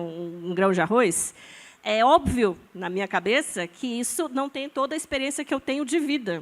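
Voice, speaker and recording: Her pitch fairly high, a woman speaks at a moderate pace with lively intonation. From Brazil, born in Amazonas, lived in many regions, settled in São Paulo. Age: 40s. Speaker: scientist and biohacker artist, panelist. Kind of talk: panel discussion. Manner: animated, casual with fillers and repetitions.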